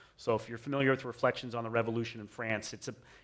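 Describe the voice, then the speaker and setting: Bright and sharp in tone, a man speaks with an American accent. The recording is very clean, the background silent. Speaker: conservative scholar and former English professor. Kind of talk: interview conversation. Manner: halting, many fillers and restarts.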